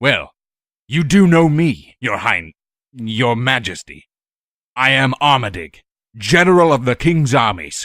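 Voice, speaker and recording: A man's put-on character voice at medium pitch with very wide pitch swings, fairly slow pace and long, frequent pauses, on a very clean recording with a silent background and a dry, close sound with no echo. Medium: read story. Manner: blunt, terse.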